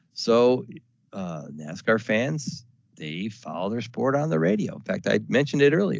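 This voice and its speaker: A man with a fairly low pitch and vocal fry swings very widely in pitch as he speaks. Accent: American. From US South. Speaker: radio sales manager. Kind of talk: webinar presentation. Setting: webinar recording. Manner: casual with filler words.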